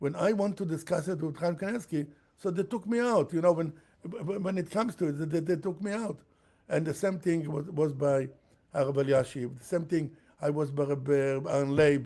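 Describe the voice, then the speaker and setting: Here a man with a fairly high pitch and a dark, mellow tone speaks at a moderate pace with ordinary pitch variation. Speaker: rabbi on tekhelet. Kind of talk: interview. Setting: live stream. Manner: halting.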